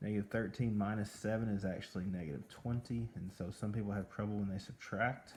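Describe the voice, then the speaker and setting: Fairly low in pitch, a man speaks in a normal speaking voice at a fairly quick pace, with fairly even intonation and hardly any pauses. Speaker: math teacher. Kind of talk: tutorial.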